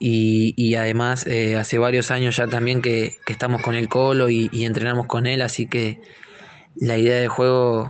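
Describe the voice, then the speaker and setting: A man's medium-pitched voice at a moderate pace, with monotone, flat intonation and very even loudness. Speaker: footballer. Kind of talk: interview. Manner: hesitant, repeats words.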